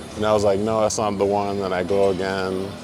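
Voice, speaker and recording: A man at a moderate pace, with music in the background and audible room echo. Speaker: vlogger and amateur rapper. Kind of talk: casual vlog storytelling. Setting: gym. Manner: monotone.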